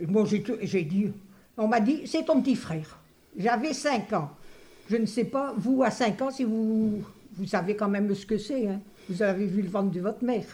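Speaking at a fairly slow pace with long, frequent pauses, a woman with a fairly high pitch sounds somewhat breathy in a dark, mellow tone, her pitch varying in an ordinary way. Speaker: retired interviewee recalling school days. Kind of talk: testimony.

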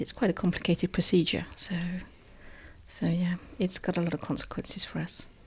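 At a fairly quick pace, a woman speaks in a fairly low, somewhat breathy voice. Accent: southern English. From southern England, Hampshire. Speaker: English teacher and school librarian. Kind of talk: interview.

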